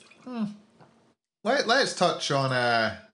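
A man speaks with a Scottish accent and a bright, sharp tone. The background is quiet. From Scotland. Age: 20s. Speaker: esports podcast co-host. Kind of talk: casual chat.

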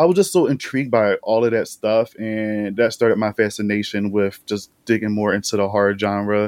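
An unremarkable speaking voice talks at a fairly quick pace, recorded with a dry, close sound and no echo. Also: man. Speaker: horror YouTube host and critic. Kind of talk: casual chat.

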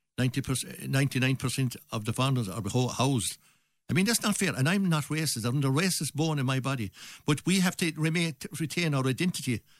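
A man with a Limerick accent, fairly high pitch and lively intonation at a very fast pace, on a very clean recording with a silent background. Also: very even loudness. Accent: Irish (Limerick). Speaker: election candidate. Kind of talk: radio election debate. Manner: halting.

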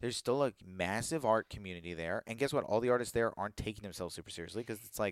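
On a very clean recording with a silent background and a dry, close sound with no echo, a man with a fairly low voice talks at a very fast pace in an animated tone. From Virginia, US. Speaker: comedian. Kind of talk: casual chat.

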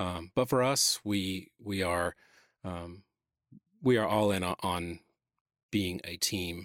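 A man's very deep, low voice in a Southern US accent, very slow with long, frequent pauses and ordinary pitch variation, on a very clean recording with a silent background. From Atlanta, Georgia (US South). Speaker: church creative director. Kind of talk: interview conversation. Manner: halting, many fillers.

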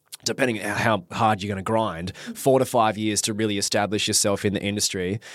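Speaking at a fairly quick pace, a man talks with an Australian accent. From Perth, Western Australia. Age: 30s. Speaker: marriage celebrant and reality TV contestant. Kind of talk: casual chat.

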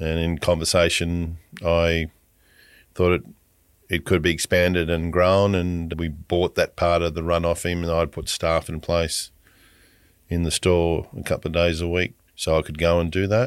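A man with an Australian accent speaks at a moderate pace in a very deep, low pitch, his intonation monotone and flat, on a very clean recording with a silent background. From rural Queensland, Australia. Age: 60s. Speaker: supermarket owner, former bank officer. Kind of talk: interview.

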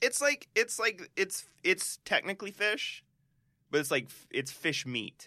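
A man with a high pitch uses a raised, projected voice in a bright, sharp tone, speaking at a fairly slow pace with very wide pitch swings. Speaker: podcast co-host. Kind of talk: casual chat.

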